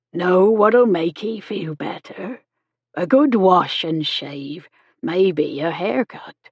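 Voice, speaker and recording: A woman does a put-on character voice at medium pitch and a very slow pace. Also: lively intonation. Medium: read story. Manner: brisk, homely, motherly.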